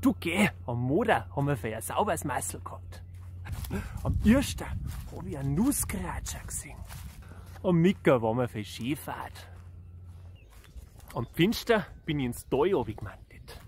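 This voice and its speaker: Speaking in a Bavarian accent at a fairly slow pace, the voice shows very wide pitch swings, vocal fry and long, frequent pauses, with a dry sound with no echo and light background noise. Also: man. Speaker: singer-songwriter. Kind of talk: casual talk to camera. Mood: cheerful, friendly. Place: open country. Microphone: phone near.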